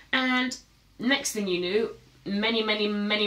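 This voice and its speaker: Audible room echo surrounds a woman whose bright, sharp voice moves at a fairly quick pace with ordinary pitch variation. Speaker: content creator. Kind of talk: casual vlog chat. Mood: relaxed, reflective. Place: studio.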